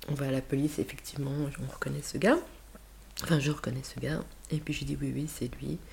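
A woman at a fairly quick pace, with long, frequent pauses. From Switzerland (Geneva), Spanish parents. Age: 50s. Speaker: school principal. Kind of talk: interview. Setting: recorded in Geneva.

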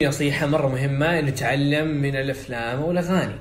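Noticeable background noise is present. Over it, a man speaks at a fairly high pitch. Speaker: IELTS coach and podcaster. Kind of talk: solo podcast monologue, casual and advisory. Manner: conversational, informal, code-switching with English.

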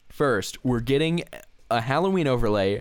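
Over a silent background on a very clean recording, a man talks at a moderate pace with very wide pitch swings. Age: 20s. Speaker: podcast co-host. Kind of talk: casual chat.

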